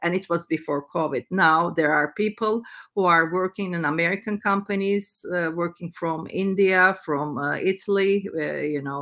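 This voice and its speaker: A woman with a Turkish accent speaks at a moderate pace. Her pitch is fairly low and her intonation fairly even. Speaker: entrepreneur. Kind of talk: interview. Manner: halting.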